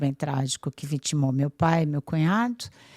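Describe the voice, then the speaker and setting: A woman with a very deep, low pitch and a dark, mellow tone. The sound is dry and close with no echo, on a very clean recording with a silent background. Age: 60s. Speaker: businesswoman and architect. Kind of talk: interview.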